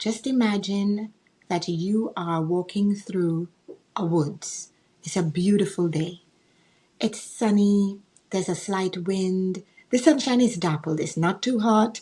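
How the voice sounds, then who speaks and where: A woman's somewhat breathy, medium-pitched voice with a dark, mellow tone, ordinary pitch variation and a fairly slow pace. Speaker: author and mentor. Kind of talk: guided visualization.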